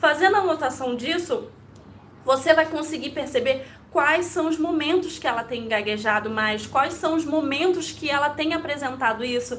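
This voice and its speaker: A woman's high voice with lively intonation at a moderate pace, plus audible room echo. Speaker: Montessori educator. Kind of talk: live stream talk to viewers. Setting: live video stream. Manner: occasional stumbles.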